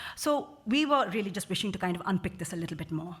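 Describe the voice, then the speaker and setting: A woman talks at a fairly quick pace in a medium pitch, her voice somewhat breathy and her intonation lively. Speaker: social care researcher. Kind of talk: conference talk. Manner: fast.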